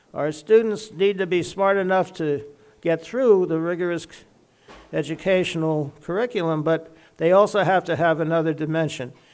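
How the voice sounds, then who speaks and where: A man's high voice at a moderate pace, with ordinary pitch variation. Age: 80s+. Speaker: physician and medical school leader. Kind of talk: after-dinner speech.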